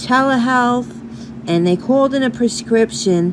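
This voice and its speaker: A woman with a New York accent talks in very wide pitch swings over noticeable background noise. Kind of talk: casual talk to camera.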